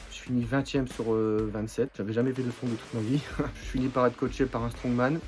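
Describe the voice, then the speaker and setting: A man at medium pitch and a fairly quick pace with fairly even intonation, over noticeable background noise. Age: 20s. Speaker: strongman athlete. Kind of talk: personal testimony. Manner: casual, hesitant with fillers.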